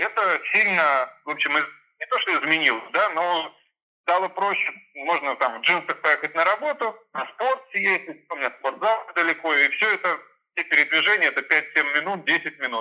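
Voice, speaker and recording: High-pitched male voice, bright and sharp, with lively intonation. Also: moderate pace. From Germany and St Petersburg. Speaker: lawyer. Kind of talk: interview.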